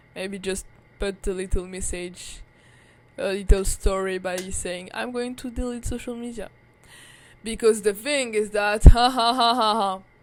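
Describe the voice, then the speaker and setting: A woman at a fairly slow pace and medium pitch, with a French accent, fairly even intonation and big swings in loudness, on a very clean recording with a silent background. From France, Paris. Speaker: vlogger. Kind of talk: casual monologue. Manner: filler-heavy, halting.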